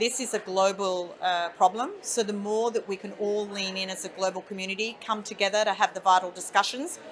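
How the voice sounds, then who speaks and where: Amid noticeable background noise, a woman with an Australian accent speaks at medium pitch and a moderate pace, with fairly even intonation. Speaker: industry association chief executive. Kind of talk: interview. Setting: conference event.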